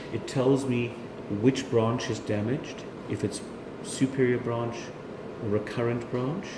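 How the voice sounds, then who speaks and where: Against noticeable background noise, a man at medium pitch talks at a fairly slow pace with fairly even intonation and long, frequent pauses. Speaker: laryngologist. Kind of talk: doctor explaining diagnosis to patient.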